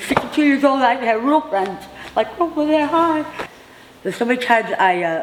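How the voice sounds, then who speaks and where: Over noticeable background noise, a woman with a high pitch talks at a fairly quick pace. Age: 60s. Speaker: formerly homeless housing resident. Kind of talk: interview testimony. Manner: halting.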